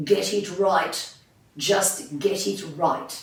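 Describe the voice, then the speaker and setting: A man puts on a character voice pitched high, with a slight echo around it. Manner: gruff, emphatic.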